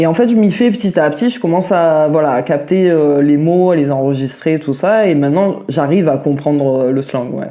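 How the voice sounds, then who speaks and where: Her very deep, low voice has a dark, mellow tone, and the woman moves at a moderate pace with lively intonation. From southern France (Vaucluse, near Mont Ventoux). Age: 30s. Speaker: interviewee, cook. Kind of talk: podcast interview. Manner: hesitant, many fillers.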